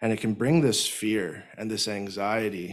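With a plain, everyday voice, a man speaks at a fairly slow pace in a fairly low pitch with ordinary pitch variation against a quiet background. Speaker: speaker. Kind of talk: sermon. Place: hall. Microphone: studio mic.

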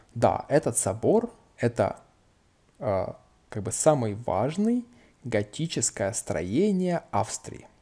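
Somewhat breathy and medium in pitch, a man speaks at a very slow pace with long, frequent pauses and very wide pitch swings. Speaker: language-learning YouTuber. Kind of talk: casual tutorial, reading and translating a book. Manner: informal, chatty, with fillers.

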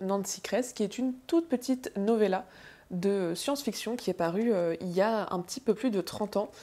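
A woman's dark, mellow tone unfolds at a fairly slow pace. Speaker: book vlogger. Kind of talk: casual vlog monologue. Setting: home video recording. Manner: casual, animated, self-deprecating. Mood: relaxed, chatty. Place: home room.

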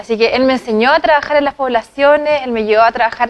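A woman speaks at a very fast pace and a high pitch, with ordinary pitch variation. The background is quiet. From Chile, San Antonio; Chile. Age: young. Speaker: parliamentary candidate; candidate. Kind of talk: TV interview. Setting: TV studio. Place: studio. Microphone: lapel.

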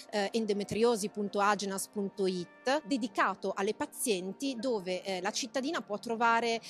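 Faint music plays in the background of a dry sound with no echo. The pace is moderate, with ordinary pitch variation. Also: woman. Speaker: interviewee. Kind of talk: interview answer. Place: hall. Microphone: handheld.

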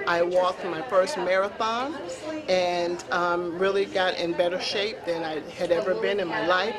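Crowd noise fills the background as a woman speaks. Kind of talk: interview answer. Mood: warm, reflective. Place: hall.

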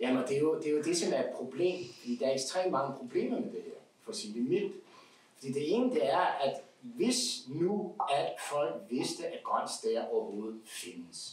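A man's fairly slow speech with audible room echo. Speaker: guest. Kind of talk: casual chat. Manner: animated. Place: home room.

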